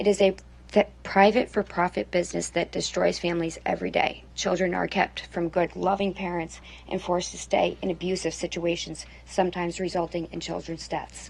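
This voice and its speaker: A woman uses a put-on character voice that is raspy. She speaks at a fairly quick pace. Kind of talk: earnest, advocacy speech. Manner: voice strained by emotion.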